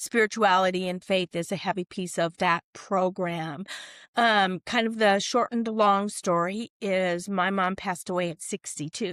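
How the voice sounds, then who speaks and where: A woman speaks in a normal speaking voice at medium pitch and a moderate pace, with fairly even intonation, over a dry, close sound with no echo in a very clean recording with a silent background. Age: 60s. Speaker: corporate wellness coach. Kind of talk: podcast interview.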